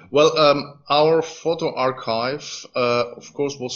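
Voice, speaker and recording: Very slow, medium-pitched speech from a man. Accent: Greek. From Greece, Thessaloniki. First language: Greek. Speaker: archaeologist. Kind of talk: interview. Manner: halting.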